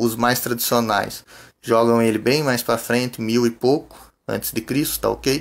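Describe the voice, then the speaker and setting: Very slow, monotone speech in a Brazilian accent, with flat intonation, very even loudness and a very clean recording over a silent background. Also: man. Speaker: Sunday school teacher. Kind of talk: lecture.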